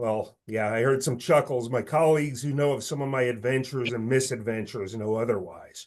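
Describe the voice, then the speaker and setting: The clip features an unremarkable speaking voice with ordinary pitch variation. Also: man, medium pitch for a man, fairly quick pace. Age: 50s. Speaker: financial firm managing director, webinar opener. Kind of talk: webinar introduction. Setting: webinar. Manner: formal.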